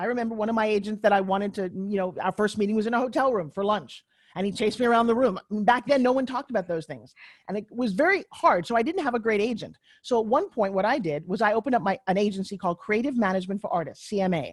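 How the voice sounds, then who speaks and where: A woman speaks at a very fast pace in an animated tone, her fairly high voice showing ordinary pitch variation. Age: 60s. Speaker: tv pitchwoman and former actress. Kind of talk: interview. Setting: podcast.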